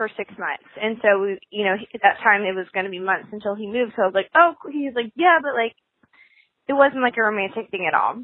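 A woman's fairly high-pitched voice with ordinary pitch variation, a normal speaking voice. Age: 20s. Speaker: caller. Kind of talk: voicemail.

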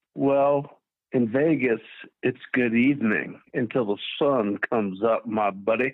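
This is an ordinary speaking voice with an American accent. It moves at a fairly slow pace with ordinary pitch variation. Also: man, medium pitch for a man. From Chicago, US. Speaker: caller. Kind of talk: call-in discussion. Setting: phone call.

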